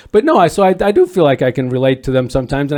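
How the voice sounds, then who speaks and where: With a Midwestern US accent, a man talks at a very fast pace and a fairly high pitch. His pitch variation is ordinary, and the recording is very clean with a silent background. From northern Illinois. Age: 60s. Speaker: volunteer dads group facilitator. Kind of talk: podcast interview. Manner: halting, many repeated words.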